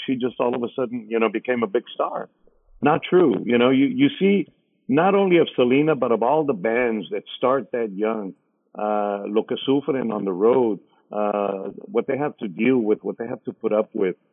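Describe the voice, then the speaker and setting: A man with an American accent talks at a moderate pace and medium pitch. His intonation is lively. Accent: Tejano Spanglish, South Texas. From Rio Grande Valley, South Texas. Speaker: radio DJ. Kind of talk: casual chat.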